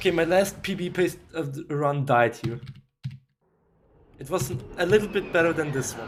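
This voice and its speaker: A man talks at a moderate pace in a high pitch with ordinary pitch variation. Long, frequent pauses break up his speech. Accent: German. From Austria. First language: German. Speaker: video game speedrunner streamer. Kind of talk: live stream commentary. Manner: casual, talkative.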